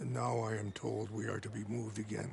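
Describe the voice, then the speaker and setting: Using a put-on character voice, a man speaks in a raspy, solemn tone at a fairly low pitch, with lively intonation, very even loudness and a fairly quick pace, over clear background noise. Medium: video game. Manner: solemn, dignified.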